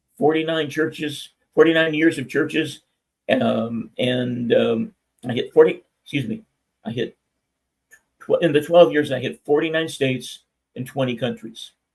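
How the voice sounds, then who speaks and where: With long, frequent pauses, a man talks at a moderate pace, his fairly high pitch carrying lively intonation and a somewhat breathy sound. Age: 70s. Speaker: minister. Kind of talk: testimony. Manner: stammering.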